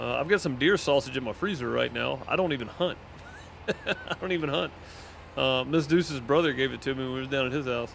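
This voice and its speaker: A man talks at a fairly quick pace in a medium-pitched voice. Noticeable background noise runs beneath him. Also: ordinary pitch variation. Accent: Southern US. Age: 30s. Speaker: gaming streamer. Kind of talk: casual chat. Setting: live stream. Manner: halting.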